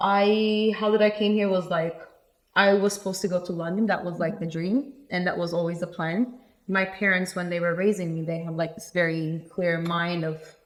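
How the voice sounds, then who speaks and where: A woman speaks at a moderate pace with a Turkish accent. Her voice is fairly low, with fairly even intonation. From Turkey, Antalya. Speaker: architect. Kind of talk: casual chat.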